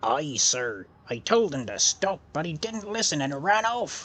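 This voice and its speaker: A put-on character voice at a moderate pace, full of very wide pitch swings. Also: man, fairly high pitch for a man. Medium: audio drama. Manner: hearty sailor slang.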